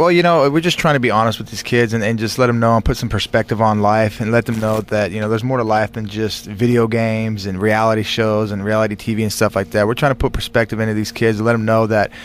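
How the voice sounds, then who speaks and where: Over noticeable background noise, a man with an American accent races along at a very fast pace with hardly any pauses, his medium pitch held in fairly even intonation. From California, Bakersfield. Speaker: war veteran and former football player. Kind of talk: radio interview. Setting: studio.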